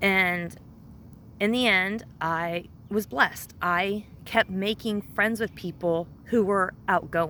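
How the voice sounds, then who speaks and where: A woman's loud, bright, sharp voice at medium pitch, very slow in pace with ordinary pitch variation. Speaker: vlogger sharing life with Asperger's. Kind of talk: personal testimony. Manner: halting.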